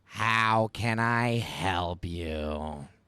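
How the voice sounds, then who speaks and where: Using a put-on character voice, a man speaks in a very deep, low pitch. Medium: actual play. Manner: curt, officious.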